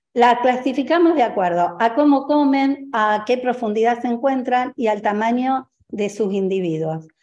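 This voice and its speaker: A woman talks with a high pitch at a fairly slow pace. She leaves hardly any pauses. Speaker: agricultural engineer presenting. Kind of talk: presentation. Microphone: video call.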